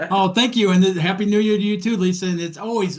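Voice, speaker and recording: The background stays quiet. A man speaks at a fairly quick pace. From US Midwest, Detroit, Michigan. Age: 60s. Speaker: mindset coach. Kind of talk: interview podcast chat.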